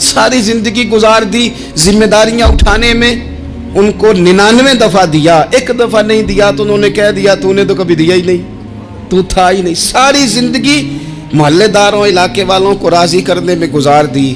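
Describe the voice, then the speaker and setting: A man's high-pitched voice with ordinary pitch variation and very even loudness, music in the background. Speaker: Islamic preacher. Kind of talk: religious sermon (bayan). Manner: emotional, passionate, pleading.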